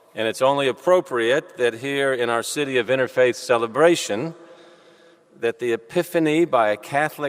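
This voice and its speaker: A man with an American accent speaks at a moderate pace with medium pitch and ordinary pitch variation, the sound dry and close with no echo, with noticeable background noise. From US South, Louisville, Kentucky. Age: 50s. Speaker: civic leader giving welcome. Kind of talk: welcome speech. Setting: cathedral with audience. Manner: formal.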